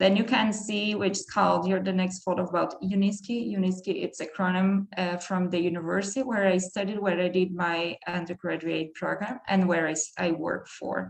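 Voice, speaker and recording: Over noticeable background noise, a woman speaks at a moderate pace with hardly any pauses. Her voice is medium in pitch with fairly even intonation. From southern Brazil, countryside. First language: German. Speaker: PhD researcher. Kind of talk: academic talk. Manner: halting.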